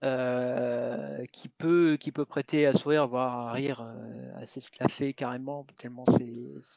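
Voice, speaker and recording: Speaking at a very slow pace, a man with a medium pitch keeps a monotone, flat intonation yet has big swings in loudness, in a dry, close sound with no echo. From Bordeaux region, southwest France. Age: 40s. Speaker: author. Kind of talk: interview. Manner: halting, frequent repetitions and hesitations.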